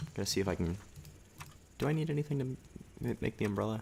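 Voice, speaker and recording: Soft-spoken, a man talks at a fairly quick pace with lively intonation. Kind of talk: let's play game commentary.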